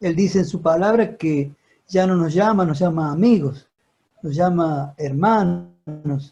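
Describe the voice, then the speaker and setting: A man speaks at a fairly slow pace with ordinary pitch variation. His voice is high for a man, yet dark and mellow in tone. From Argentina, Córdoba. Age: 70s. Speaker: deacon. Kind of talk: question and answer comments on video call. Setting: video call.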